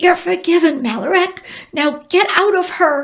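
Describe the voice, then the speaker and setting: A woman puts on a squeaky character voice with an extremely high pitch. She speaks at a moderate pace. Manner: quiet, hissing, urgent.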